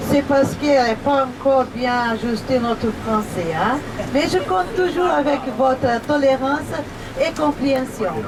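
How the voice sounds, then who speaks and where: A woman with a Brazilian accent speaks high-pitched and at a fairly slow pace, her intonation lively. Crowd noise fills the background, and the room echoes audibly. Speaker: tour guide. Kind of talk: welcome speech to tour group.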